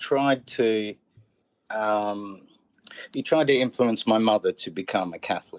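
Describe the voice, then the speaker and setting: A man's medium-pitched voice with an Australian accent, at a fairly slow pace with ordinary pitch variation, in a dry, close sound with no echo. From Australia, central Queensland. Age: 40s. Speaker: comedian and educator. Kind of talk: casual chat. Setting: podcast interview. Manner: halting.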